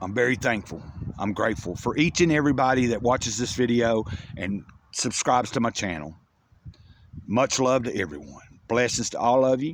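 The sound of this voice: Delivery moves at a moderate pace with lively intonation. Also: man, medium pitch for a man.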